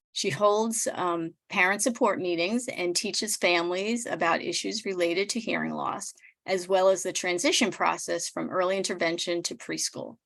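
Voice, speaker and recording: A woman's medium-pitched voice with vocal fry and ordinary pitch variation, at a moderate pace with hardly any pauses, on a very clean recording with a silent background. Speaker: nonprofit executive director. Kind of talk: speaker introduction. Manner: measured.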